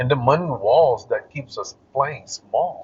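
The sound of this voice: A man speaks at a fairly slow pace and medium pitch, with a husky, rough edge. His intonation is lively.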